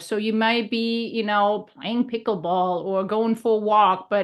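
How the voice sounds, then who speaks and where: A woman speaks with a German accent at a moderate pace. The background is quiet. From Germany. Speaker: health and leadership coach. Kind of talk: casual podcast conversation.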